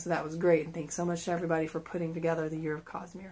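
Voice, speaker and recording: This woman's voice sits at a fairly low pitch. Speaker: book vlogger. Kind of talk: casual video monologue. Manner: casual with fillers.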